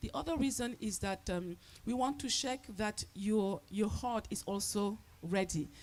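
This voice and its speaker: Fairly high-pitched with lively intonation, a woman's voice shows some vocal fry. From Cameroon, east (Maka), raised in Paris. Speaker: storyteller. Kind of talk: storytelling to festival audience. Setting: outdoor festival, live audience. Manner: interactive call-and-response.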